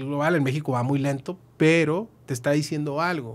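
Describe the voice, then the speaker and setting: The man's speech moves along at a moderate pace. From northern Mexico, Chihuahua. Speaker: accountant and business consultant; guest. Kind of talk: podcast interview; interview answer. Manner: hesitant, many fillers. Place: studio. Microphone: studio mic.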